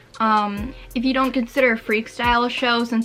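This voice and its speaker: A woman with an American accent at a moderate pace, music in the background. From Michigan, US. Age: 18. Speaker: vlogger. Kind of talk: casual vlog talk.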